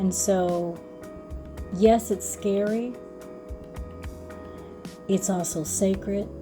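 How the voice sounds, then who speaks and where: Music sits behind a woman speaking at a medium pitch in a monotone, flat intonation. She goes very slowly, with long, frequent pauses. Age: 60s. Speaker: spoken word artist and mindfulness educator. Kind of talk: casual talk to camera.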